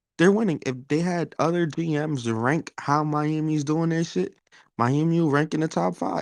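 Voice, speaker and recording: Speaking at a moderate pace with a New York accent, a man with a fairly high pitch is recorded in a dry, close sound with no echo against a quiet background. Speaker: sports talk panelist. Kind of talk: casual chat.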